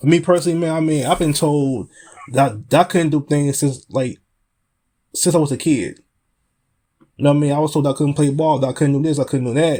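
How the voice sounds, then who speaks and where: A man with an American accent talks at a very fast pace in a dark, mellow tone, fairly high in pitch. His intonation is fairly even, on a very clean recording with a silent background. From US Midwest, Chicago. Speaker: podcast host and spoken word poet. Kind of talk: casual chat.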